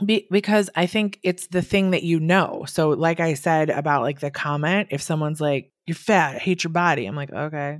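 An unremarkable speaking voice belongs to a woman with an American accent and a fairly low pitch. She keeps a moderate pace with hardly any pauses and ordinary pitch variation. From US Midwest, Wisconsin. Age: 40s. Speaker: body acceptance coach. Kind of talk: casual interview.

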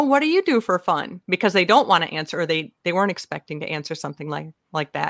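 A woman with a Minnesotan accent at a very fast pace, animated in tone with very wide pitch swings, in a dry, close sound with no echo. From US Minnesota. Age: 50s. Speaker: humorist speaker and author. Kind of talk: casual chat. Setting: video call. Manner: animated, jokey.

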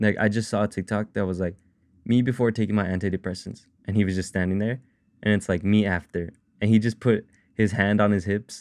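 Over a quiet background, a man speaks at a fairly quick pace. His fairly low voice is monotone, with flat intonation. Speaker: solo podcaster and musician. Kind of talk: casual solo talk. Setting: home recording with mic. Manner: halting, many fillers.

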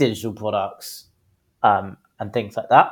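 A man with a British accent speaks at a moderate pace, his fairly low voice kept to fairly even intonation. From UK. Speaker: business founder and CEO. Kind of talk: interview. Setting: remote recording.

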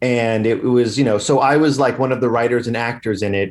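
Here is an ordinary speaking voice from a man with an American accent. He talks at a moderate pace and a medium pitch. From Long Island, New York. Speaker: comedian and musician. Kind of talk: casual chat.

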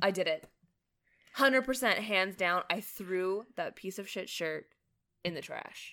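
A woman speaks in a bright, sharp tone at a fairly slow pace, with long, frequent pauses. The recording is very clean, with a silent background. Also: medium pitch for a woman, ordinary pitch variation. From Canada. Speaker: podcast host's wife. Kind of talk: casual chat.

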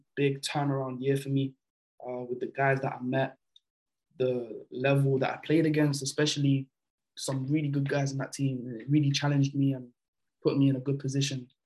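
Speaking at a fairly quick pace, a man with a fairly high voice keeps his intonation flat and monotone. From France, moved to the UK at about 12. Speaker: basketball player. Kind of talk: casual interview.

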